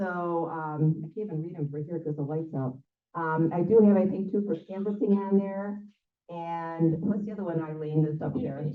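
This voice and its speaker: There is audible room echo around a woman speaking with a fairly low pitch. Her intonation varies in an ordinary way. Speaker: local political club organizer. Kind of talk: club meeting announcements. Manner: fast; filler-heavy, casual.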